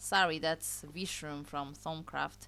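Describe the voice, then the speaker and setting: A woman's very deep, low voice in a Polish accent, bright and sharp in tone, monotone and flat, with audible room echo. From Poland. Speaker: gaming YouTuber. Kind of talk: gameplay commentary. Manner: casual, chatty.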